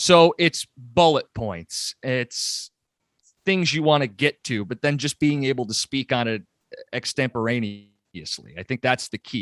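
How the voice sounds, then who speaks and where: A man speaks with a Michigan accent and lively intonation, his loudness swinging widely. The sound is dry and close, with no echo. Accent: Michigan American. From Michigan, metro Detroit. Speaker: sports radio host. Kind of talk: podcast interview.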